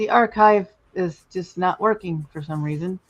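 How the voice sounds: A man with a high voice talks at a moderate pace, his pitch varying in an ordinary way.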